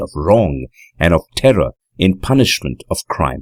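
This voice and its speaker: This man's very deep, low voice carries vocal fry in a dry, close sound with no echo. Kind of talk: audiobook narration of a classic horror story.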